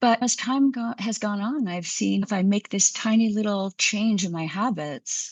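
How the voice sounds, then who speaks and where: Her voice is somewhat breathy, at a medium pitch with ordinary pitch variation. The woman speaks at a moderate pace. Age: 60s. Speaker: physician. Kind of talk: interview.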